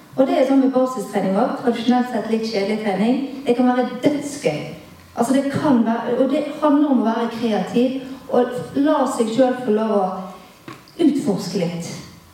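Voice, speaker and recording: A woman's high-pitched voice comes through noticeable background noise and audible room echo. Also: ordinary pitch variation, moderate pace. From Bergen, western Norway. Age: 40s. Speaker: fitness coach and entrepreneur. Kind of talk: casual chat. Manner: halting.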